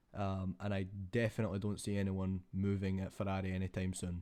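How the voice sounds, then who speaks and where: A man speaks quietly at a fairly quick pace, his pitch very deep and low. His tone is dark and mellow, with monotone, flat intonation. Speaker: F1 YouTuber. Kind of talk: casual vlog commentary. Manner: quiet, keeping voice down.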